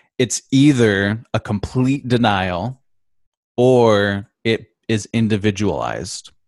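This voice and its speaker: A man with an Upper Midwest accent speaks at a fairly low pitch with ordinary pitch variation, in a dry, close recording with no echo. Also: long, frequent pauses. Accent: Upper Midwest American. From Michigan, Grand Rapids. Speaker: composer and guitarist. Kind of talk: casual interview. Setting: video call.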